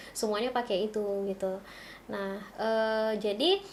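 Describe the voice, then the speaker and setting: A woman speaks at a fairly slow pace. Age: 20s. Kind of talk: casual interview chat, demonstrating technology. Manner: halting, with many fillers.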